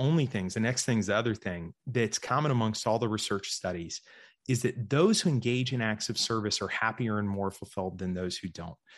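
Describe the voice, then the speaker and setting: A man speaks in a normal speaking voice at a moderate pace with lively intonation. The background is quiet. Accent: American. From US South, Georgia. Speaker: investor and writer. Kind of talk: interview.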